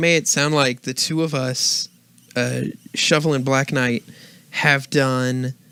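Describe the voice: The speaker is doing plain reading aloud.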